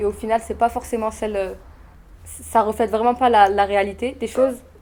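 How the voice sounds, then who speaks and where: A woman's fairly high voice in flat, monotone intonation. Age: 20s. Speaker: former intern at an event agency. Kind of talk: testimonial interview. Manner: hesitant, many fillers.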